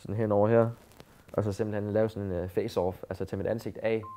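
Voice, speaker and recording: This man has a fairly low pitch. He speaks at a moderate pace with monotone, flat intonation. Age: 20s. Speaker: assault victim. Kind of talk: testimony. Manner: halting.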